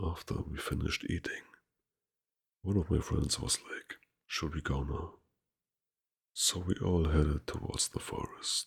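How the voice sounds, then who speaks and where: A man whispers with a German accent at a fairly slow pace, stopping for long, frequent pauses. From Germany. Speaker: ASMR creator. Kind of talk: reading aloud. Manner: soft-spoken.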